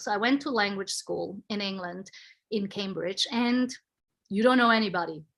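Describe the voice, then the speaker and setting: The recording is very clean, with a silent background. A woman speaks with a non-native accent and lively intonation. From Switzerland. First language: not English. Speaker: panel guest. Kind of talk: casual chat.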